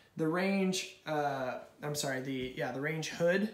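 At a fairly slow pace, a man speaks amid audible room echo. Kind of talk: walk-through commentary. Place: kitchen. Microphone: phone near.

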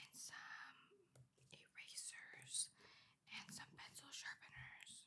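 A whispered voice moves along at a very slow pace. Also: woman. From Canada. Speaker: ASMR creator. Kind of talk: ASMR journaling ramble to camera. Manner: whispered, soft-spoken. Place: home room.

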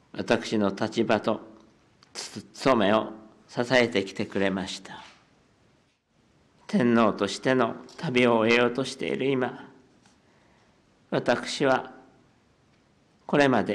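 With a shaky voice, a man speaks at a very slow pace, with long, frequent pauses and big swings in loudness. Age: 80s+. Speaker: head of state. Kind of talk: formal press conference statement. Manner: voice trembling with emotion; slow, measured.

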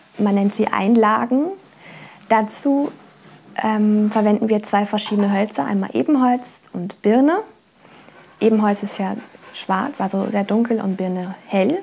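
Delivered at a fairly slow pace with long, frequent pauses, the somewhat breathy voice shows ordinary pitch variation. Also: woman, fairly high pitch for a woman. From Germany, Trier (Rhineland-Palatinate). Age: 20s. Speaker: apprentice violin maker. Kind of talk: interview testimony and craft explanation. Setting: workshop. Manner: hesitant with fillers. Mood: friendly, calm.

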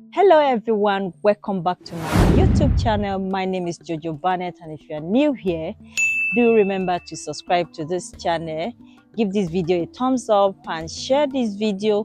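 Against clear background music, a woman's voice swings widely in loudness, with a dry sound and no echo. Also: moderate pace. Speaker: village life vlogger. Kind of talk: casual vlog chat. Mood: cheerful, smiling. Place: open country.

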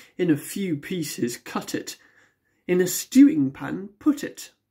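Her tone is dark and mellow, somewhat breathy, with lively intonation. The woman speaks at a very slow pace against a quiet background. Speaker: poetry reader. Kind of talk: poem reading aloud. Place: home room. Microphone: phone near.

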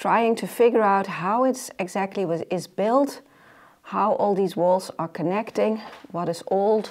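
A woman's medium-pitched, slightly mellow voice at a fairly slow pace, with ordinary pitch variation.

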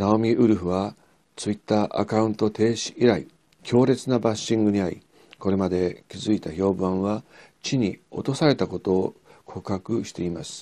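This man talks at a moderate pace in a fairly low, dark, mellow voice. His pitch moves in an ordinary way. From Japan. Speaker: historian and political commentator; political commentator. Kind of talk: scripted commentary monologue; commentary. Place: studio. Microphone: lapel.

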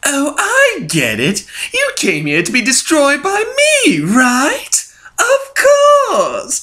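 A man speaks. He uses a put-on character voice. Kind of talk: villain voice acting. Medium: fan dub. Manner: manic, taunting, giggling; rising to frenzied shouting.

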